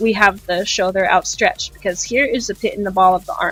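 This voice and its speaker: Fairly even in intonation and medium in pitch, a woman's voice comes through noticeable background noise. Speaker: digital art tutorial streamer. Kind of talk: tutorial. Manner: slow; casual, filler-heavy.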